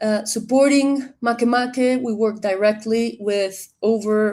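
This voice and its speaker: Speaking with a Spanish accent, a woman uses a fairly high pitch and fairly even intonation. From Colombia. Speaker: director of a digital library platform. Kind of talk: webinar introduction.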